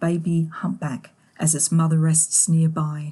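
This voice has a warm tone that is also dark and mellow, and it sounds somewhat breathy. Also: woman. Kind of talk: scripted nature documentary narration. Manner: measured, warm, gently awed storytelling pace; clear, formal, polished delivery.

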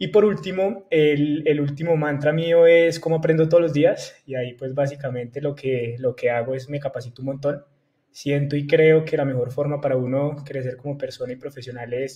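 Somewhat breathy and dark, mellow in tone, a man talks at a moderate pace. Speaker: guest. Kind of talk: interview answer. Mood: friendly, relaxed, smiling. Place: home room. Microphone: earbuds.

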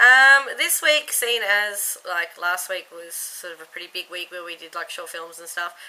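A woman with an Australian accent at a fairly slow pace, with very wide pitch swings and big swings in loudness. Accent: Australian accent, noticeable. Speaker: YouTube vlogger. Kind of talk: casual vlog, accent tag. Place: home room. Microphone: webcam.

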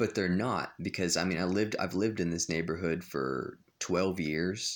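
The delivery is fairly slow, with very even loudness and fairly even intonation. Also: man. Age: 20s. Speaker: vlogger. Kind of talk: vlog monologue. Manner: halting, many fillers and repetitions. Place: home room. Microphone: phone near.

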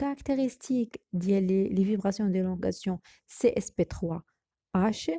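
A woman speaks at a fairly slow pace in a medium pitch with ordinary pitch variation, her dark, mellow tone somewhat breathy, on a very clean recording with a silent background and a dry, close sound with no echo. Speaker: chemistry teacher. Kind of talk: tutorial. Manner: halting.

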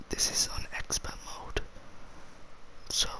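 In a whisper, a man speaks. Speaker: ASMR gaming YouTuber. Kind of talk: casual talk to camera while gaming. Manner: soft whispering.

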